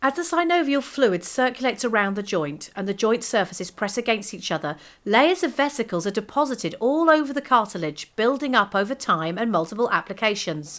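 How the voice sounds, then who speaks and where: A British-accented woman's fairly high voice at a fairly quick pace, hardly any pauses, very wide pitch swings, and a very clean recording with a silent background. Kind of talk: corporate explainer narration.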